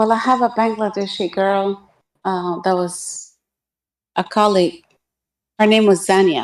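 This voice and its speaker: Speaking with an Arabic accent at a medium pitch, a woman goes at a fairly slow pace with long, frequent pauses and fairly even intonation, on a very clean recording with a silent background. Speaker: guest on religious debate stream. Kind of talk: casual discussion.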